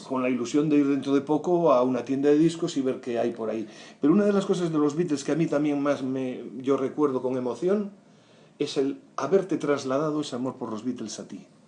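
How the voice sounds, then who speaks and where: Dark and mellow in tone, a man's fairly high voice moves at a fairly quick pace with ordinary pitch variation. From Galicia, Spain. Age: 60s. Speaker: writer, podcast guest. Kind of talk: interview answer.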